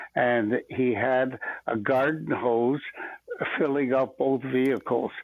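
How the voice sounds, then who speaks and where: Over noticeable background noise, a man talks very slowly at a medium pitch in a monotone, flat intonation with very even loudness. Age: 80s+. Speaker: audience member asking questions. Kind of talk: casual Q&A discussion. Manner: halting, many fillers.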